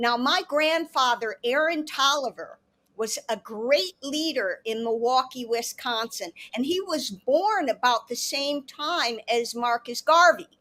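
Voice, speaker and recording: An animated, high-pitched woman's voice, bright and sharp in tone, raised and projected, with lively intonation. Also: fairly slow pace. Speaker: panelist. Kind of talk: panel discussion. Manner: loud.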